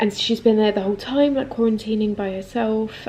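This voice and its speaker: Flat and monotone, a woman talks in a southern English accent. There is noticeable background noise. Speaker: lifestyle vlogger. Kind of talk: casual vlog talk. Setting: at home.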